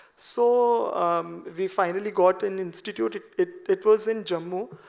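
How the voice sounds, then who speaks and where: A soft-spoken man with a Punjabi accent and ordinary pitch variation. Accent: Indian English, Punjabi. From Punjab, India. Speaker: classical dancer. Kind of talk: seminar talk. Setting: auditorium with audience.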